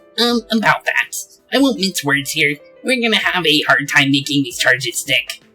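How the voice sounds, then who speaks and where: Someone performs a put-on character voice at a moderate pace while faint music plays in the background. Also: man, high pitch for a man. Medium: actual play. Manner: calm, matter-of-fact.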